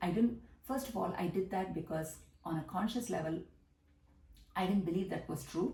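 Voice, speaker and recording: A woman's fairly low voice with vocal fry, in a Tamil accent, at a moderate pace with ordinary pitch variation and audible room echo. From South India, Tamil Nadu. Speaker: business coach. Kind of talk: monologue vlog.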